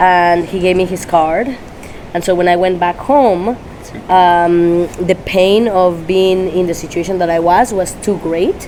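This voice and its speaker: With a Spanish accent, a woman speaks at a fairly slow pace and medium pitch with fairly even intonation, against noticeable background noise. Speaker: dog trainer. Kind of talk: interview. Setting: Tampa, Florida. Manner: halting.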